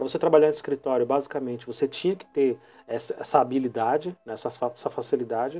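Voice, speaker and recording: A man speaks very fast at a fairly high pitch. His pitch varies in an ordinary way, while his loudness swings widely. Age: 40s. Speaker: teacher, podcast host. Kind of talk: casual chat.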